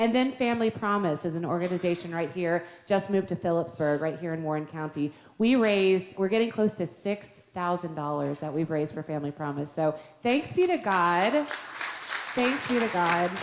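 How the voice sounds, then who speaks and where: This woman has a normal speaking voice, fairly low in pitch, with lively intonation, a moderate pace and hardly any pauses. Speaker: pastor. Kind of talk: church announcements. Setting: church.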